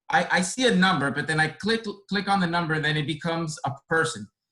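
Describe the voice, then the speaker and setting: Ordinary pitch variation marks this man's bright, sharp tone, heard with a Spanish accent. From born in Dominican Republic, grew up in inner-city Boston. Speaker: care resource coordinator. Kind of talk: panel talk.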